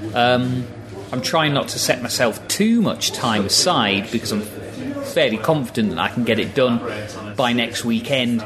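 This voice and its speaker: Over music in the background, a man speaks at a fairly slow pace with medium pitch and ordinary pitch variation. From northeast England, Newcastle. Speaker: transcription volunteer. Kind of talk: casual chat. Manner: hesitant.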